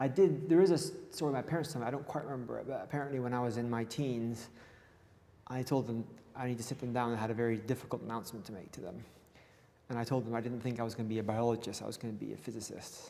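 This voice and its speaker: Amid audible room echo, a man with a dark, mellow tone speaks at a very fast pace and a medium pitch with ordinary pitch variation. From Gabon, Dutch family. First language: Dutch. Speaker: physicist and academic. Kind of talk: interview on stage. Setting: stage with audience.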